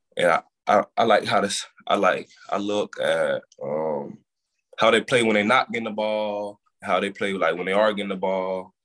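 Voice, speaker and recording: Here a man speaks at a moderate pace, the sound dry and close with no echo. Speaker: college football player. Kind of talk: interview.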